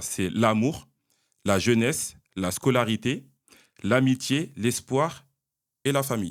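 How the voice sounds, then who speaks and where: A man's normal speaking voice at medium pitch with ordinary pitch variation, very clean recording against a silent background. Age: 30s. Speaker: podcast host. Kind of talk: casual interview.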